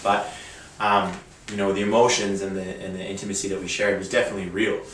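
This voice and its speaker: At a very fast pace, a man talks in a Canadian accent at a fairly low pitch. Noticeable background noise and audible room echo fill the recording. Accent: Canadian, stands out in Australia. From Canada. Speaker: reality show contestant. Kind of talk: interview.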